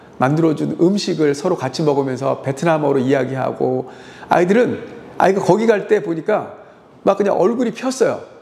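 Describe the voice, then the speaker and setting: Noticeable background noise runs under a man talking at a moderate pace. His high-pitched voice has lively intonation. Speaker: high school teacher. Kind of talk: monologue commentary. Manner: halting with fillers.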